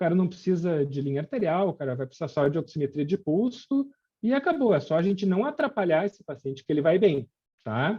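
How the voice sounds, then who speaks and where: This man's voice is high in pitch and swings very widely up and down as he talks at a fairly quick pace. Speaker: intensive care physician lecturer. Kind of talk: lecture. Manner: many filler hesitations.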